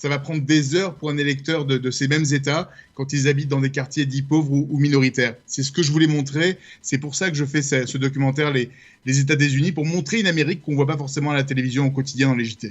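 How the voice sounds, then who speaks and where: Somewhat breathy and fairly high in pitch, a man speaks at a very fast pace. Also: fairly even intonation. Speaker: journalist and documentary maker. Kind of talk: radio interview.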